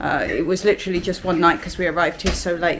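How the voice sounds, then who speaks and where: Against noticeable background noise, a woman talks very fast at a medium pitch. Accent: British. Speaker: family travel vlogger. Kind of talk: vlog room tour. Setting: hotel room. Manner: casual, hesitant fillers; speaking quietly.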